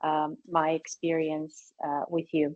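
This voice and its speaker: Very slowly, a woman talks in a dry, close sound with no echo. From Bulgaria. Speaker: startup accelerator co-founder. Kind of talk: webinar presentation. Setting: video call. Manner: hesitant, many fillers.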